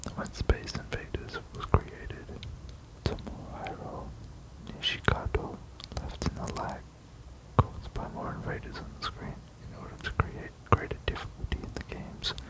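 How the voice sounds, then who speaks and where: Whispering at a moderate pace, a man leaves long, frequent pauses, his loudness swinging widely over noticeable background noise. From Australia. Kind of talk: ASMR fact reading. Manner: whispered.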